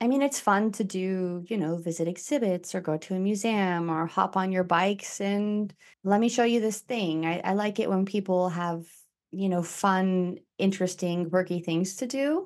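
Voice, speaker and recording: A woman talks at a moderate pace in an unremarkable speaking voice, medium in pitch with ordinary variation. The recording is very clean with a silent background. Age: 30s. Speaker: podcast host, interviewed as guest. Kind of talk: casual chat.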